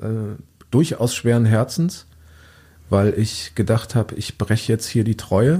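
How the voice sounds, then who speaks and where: A man with a medium-pitched, dark, mellow, somewhat breathy voice talks at a very slow pace with long, frequent pauses and ordinary pitch variation. The recording is very clean, with a silent background. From Lower Saxony, near Diepholz. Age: 40s. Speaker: journalist and author. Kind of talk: interview. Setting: studio.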